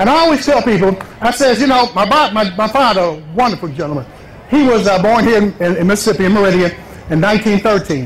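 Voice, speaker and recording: Over noticeable background noise, a man with an American accent talks very fast at a high pitch with lively intonation. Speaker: political candidate. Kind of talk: campaign rally speech.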